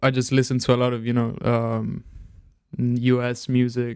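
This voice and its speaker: The speech moves at a moderate pace with flat, monotone intonation. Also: man. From Italy. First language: Italian. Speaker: rapper and producer. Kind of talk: casual chat.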